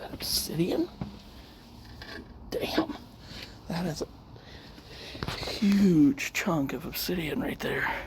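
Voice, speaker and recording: Someone whispers at a very slow pace, with long, frequent pauses. Background noise is noticeable. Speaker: paranormal investigator. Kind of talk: ghost hunting vlog. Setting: old hotel at night.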